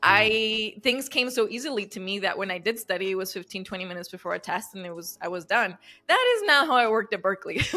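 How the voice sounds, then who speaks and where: Speaking very fast with hardly any pauses, a woman with a Spanish accent uses a bright, sharp tone, medium pitch, ordinary pitch variation and big swings in loudness. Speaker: relationship coach. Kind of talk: interview.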